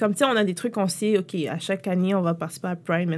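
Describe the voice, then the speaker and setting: Female speaker, very clean recording, background silent. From Quebec, Montreal-Nord. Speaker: entrepreneur. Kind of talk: interview. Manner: casual, halting with fillers.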